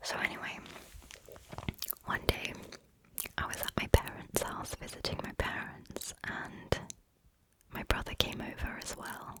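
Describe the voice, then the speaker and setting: Noticeable background noise sits under a woman whispering at a fairly slow pace. Her loudness swings widely, and her pauses are long and frequent. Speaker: ASMR creator. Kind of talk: ASMR whispered ramble, storytime. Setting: close binaural microphone, ear to ear. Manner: whispered; calm.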